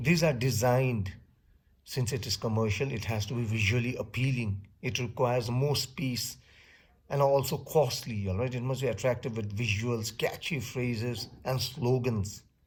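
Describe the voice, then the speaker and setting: At a moderate pace, the speech carries fairly even intonation and audible room echo. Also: man, medium pitch for a man. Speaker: teacher. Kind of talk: lecture. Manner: loud. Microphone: close to the mic.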